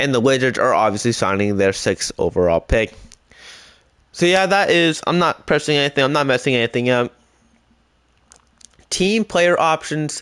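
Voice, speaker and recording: Over a quiet background, a man with a fairly high pitch speaks at a moderate pace, his loudness very even but his pitch swinging very widely, with long, frequent pauses. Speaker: gaming YouTuber. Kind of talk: gameplay commentary.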